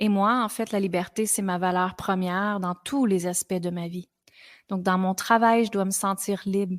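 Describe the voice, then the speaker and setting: Speaking slowly-ish in a flat monotone, a woman with a Quebec accent uses a medium pitch on a very clean recording with a silent background. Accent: Québécois French. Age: 40s. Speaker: podcast host, women's coach. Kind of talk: personal testimony on a podcast.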